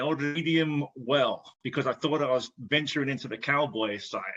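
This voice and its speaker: A man in an English accent speaks at a moderate pace with a fairly high pitch. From England. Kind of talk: casual podcast conversation.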